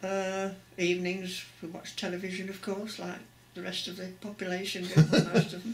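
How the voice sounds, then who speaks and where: Against noticeable background noise, a woman speaks at medium pitch in a monotone, flat intonation. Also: moderate pace, big swings in loudness. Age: 80s+. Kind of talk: interview answer.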